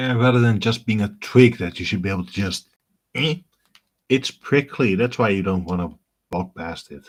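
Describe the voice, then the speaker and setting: With a Dutch accent and fairly low pitch, a man talks at a moderate pace with lively intonation, big swings in loudness, and long, frequent pauses. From Netherlands. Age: 30s. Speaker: gaming streamer. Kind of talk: live stream gameplay commentary. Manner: casual, conversational.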